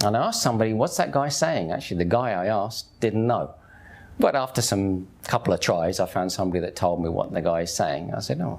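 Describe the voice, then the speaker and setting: Here a man talks with a Cockney accent at a fairly quick pace. His pitch is very deep and low. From East London, England (Hackney). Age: 50s. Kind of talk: testimony. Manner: casual, conversational.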